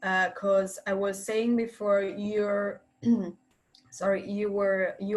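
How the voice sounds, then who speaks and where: Speaking at a fairly slow pace with an Italian accent, a woman uses a medium pitch. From Italy. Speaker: university student, former intern. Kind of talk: webinar panel discussion. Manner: halting, many filler sounds.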